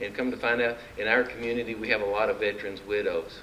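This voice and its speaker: Noticeable background noise is present throughout. The speech moves along at a fairly quick pace. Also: man. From Arkansas (Mountain View). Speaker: political candidate. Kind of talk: campaign speech. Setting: luncheon meeting with audience. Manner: folksy, animated.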